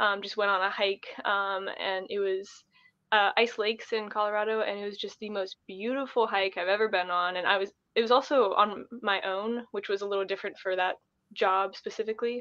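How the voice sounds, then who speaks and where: Monotone, flat intonation runs through speech at a fairly quick pace. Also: woman, medium pitch for a woman. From Ohio. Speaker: thru-hiker. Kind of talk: casual interview.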